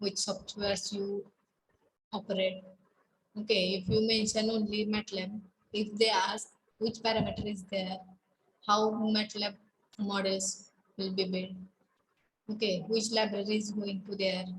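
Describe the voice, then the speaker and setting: Over light background noise, a woman speaks at a fairly slow pace with long, frequent pauses, in a somewhat breathy voice with monotone, flat intonation. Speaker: college lecturer. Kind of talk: online class lecture. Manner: halting, many fillers. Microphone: webcam.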